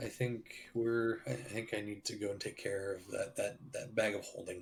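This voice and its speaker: The voice is a put-on character, raspy in texture. It moves at a moderate pace with ordinary pitch variation. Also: man, medium pitch for a man. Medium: actual play. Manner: hesitant, halting.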